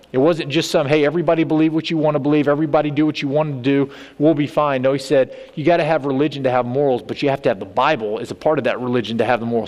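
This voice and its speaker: The speaker has an American accent and talks at a very fast pace with hardly any pauses. Pitch variation is ordinary, and there is noticeable background noise. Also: man. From Texas. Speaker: state legislator. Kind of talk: church talk.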